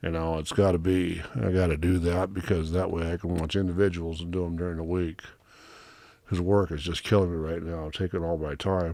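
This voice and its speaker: Fairly quick and monotone, this man's flat delivery has a very deep, low pitch and a dark, mellow tone. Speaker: movie reviewer. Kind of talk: casual monologue review. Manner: halting, with fillers.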